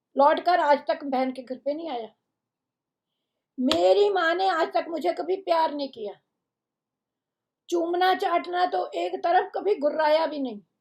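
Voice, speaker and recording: A woman speaks at an extremely high pitch with lively intonation and big swings in loudness. She leaves long, frequent pauses. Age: 80s. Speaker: storyteller reading humorous pieces. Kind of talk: reading aloud a humorous first-person story.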